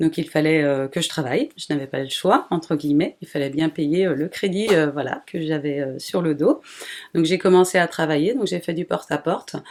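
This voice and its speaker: A woman's very deep, low voice at a moderate pace with ordinary pitch variation. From Brittany, France (near Rennes). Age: 40s. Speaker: small animal breeder. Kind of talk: interview. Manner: hesitant, many fillers.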